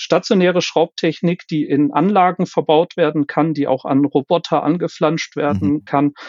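Speaking at a moderate pace and very even loudness, a man with a fairly high pitch varies it in an ordinary way. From Germany, Cologne. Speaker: quality manager in fastening technology. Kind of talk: interview. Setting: remote call. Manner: hesitant, many fillers.

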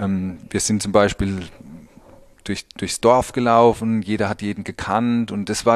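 Against a quiet background, a man speaks at a moderate pace and a medium pitch. His intonation is monotone and flat. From Pfalz, Germany (Birkweiler). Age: 30s. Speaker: winemaker. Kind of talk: interview. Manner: halting, many fillers.

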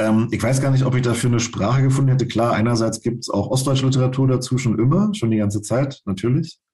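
A man talks very fast in a dark, mellow, somewhat breathy tone. His loudness stays very even, with hardly any pauses. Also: medium pitch for a man, ordinary pitch variation. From Brandenburg, eastern Germany. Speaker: writer and newspaper journalist. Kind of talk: interview. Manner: halting, many fillers.

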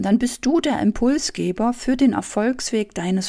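In a very clean recording with a silent background, a woman with a dark, mellow tone and fairly high pitch speaks at a moderate pace with ordinary pitch variation. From East Germany. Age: 40s. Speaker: business coach and podcast host. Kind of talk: motivational monologue.

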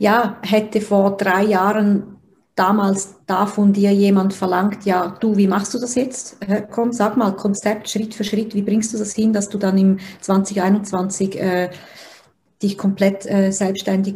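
A woman speaks very slowly with monotone, flat intonation. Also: medium pitch for a woman. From Switzerland. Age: 30s. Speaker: personal development coach, interviewer. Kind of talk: interview, asking questions. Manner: hesitant, many fillers.

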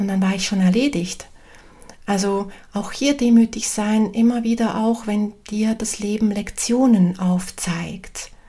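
A woman speaks at a very slow pace in a calm, warm tone. Her medium-pitched voice keeps a fairly even intonation. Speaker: medium and spiritual coach podcaster. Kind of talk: spiritual talk, solo podcast. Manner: calm, warm, with hesitations.

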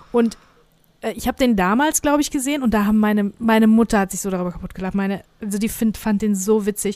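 This woman speaks at a very fast pace. Her voice is fairly high, with ordinary pitch variation. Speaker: podcast host. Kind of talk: casual chat.

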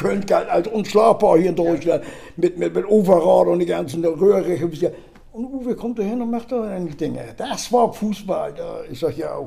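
Noticeable background noise fills the recording. Through it, a man keeps a moderate pace. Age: 70s. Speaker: retired football superfan. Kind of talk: casual chat.

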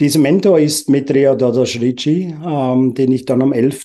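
Dark and mellow in tone, a man's medium-pitched voice moves at a very slow pace with fairly even intonation. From Uganda. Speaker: entrepreneur. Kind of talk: interview. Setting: video call.

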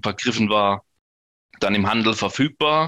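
Against a very clean, silent background, a man speaks at a moderate pace in a bright, sharp tone, the sound dry and close with no echo. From northern Baden, near Bruchsal. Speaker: homebrewer and beer sommelier. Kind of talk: casual interview with beer tasting.

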